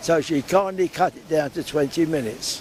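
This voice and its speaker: Noticeable background noise surrounds speech with lively intonation. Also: man. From London area (Hounslow). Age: 80s+. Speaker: war veteran. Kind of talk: interview. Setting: outdoors.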